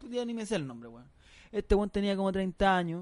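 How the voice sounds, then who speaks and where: A man with a Chilean accent, fairly quick pace, ordinary pitch variation, quiet background. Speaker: comedy podcast co-host. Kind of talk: casual comedic banter. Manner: animated.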